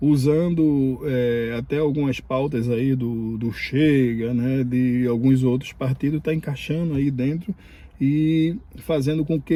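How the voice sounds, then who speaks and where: This man's voice is fairly high in pitch, with a dark, mellow tone. He speaks at a fairly slow pace with fairly even intonation. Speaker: immigration vlogger. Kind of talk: casual vlog commentary. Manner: halting, many fillers.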